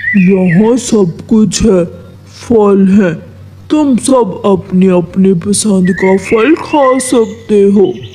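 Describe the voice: A cartoonish character voice at a middle pitch, delivered at a very slow pace over clear background noise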